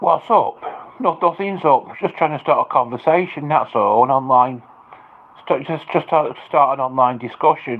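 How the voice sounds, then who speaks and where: In an English accent, a man speaks with fairly high pitch and ordinary pitch variation. He keeps a moderate pace. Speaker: livestreamer. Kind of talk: livestream chat. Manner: loud; halting, repetitive.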